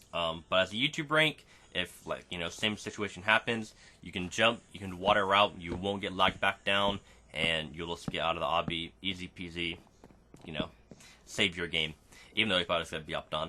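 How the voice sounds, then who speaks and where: At a fairly quick pace, a man talks with a very deep, low pitch. His loudness swings widely. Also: ordinary pitch variation. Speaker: gaming YouTuber. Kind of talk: gameplay commentary. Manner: stutters and repeats words; casual filler-heavy.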